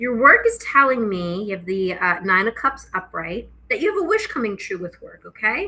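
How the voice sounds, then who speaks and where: A woman at a moderate pace with big swings in loudness, over noticeable background noise. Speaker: tarot reader. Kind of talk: casual tarot reading to camera. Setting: home kitchen, filming herself on camera.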